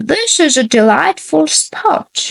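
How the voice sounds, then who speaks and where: A woman puts on a high-pitched character voice with very wide pitch swings. The sound is dry and close, with no echo. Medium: read story.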